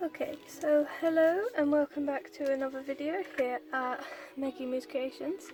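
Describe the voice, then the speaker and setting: A soft-spoken woman talks at a high pitch with fairly even intonation. There is noticeable background noise. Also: moderate pace. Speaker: crafts YouTuber. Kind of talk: crafting tutorial. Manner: quiet, speaking softly.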